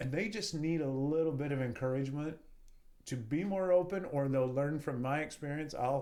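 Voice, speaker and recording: Audible room echo surrounds a man with an American accent who talks at a fairly quick pace and a fairly high pitch. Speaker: real estate entrepreneur. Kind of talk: podcast interview.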